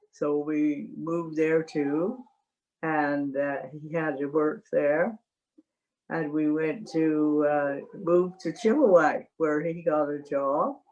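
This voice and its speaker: A woman's very deep, low voice at a very slow pace, with ordinary pitch variation. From Canada, Calgary. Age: 90s. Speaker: retired missionary. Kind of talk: life story interview. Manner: halting.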